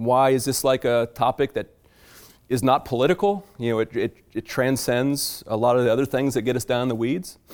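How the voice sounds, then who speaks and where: At a moderate pace, a man with a medium pitch and a normal speaking voice talks in an American accent, with ordinary pitch variation. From Virginia, US South. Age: 40s. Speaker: farmer and author. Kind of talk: public talk to a library audience.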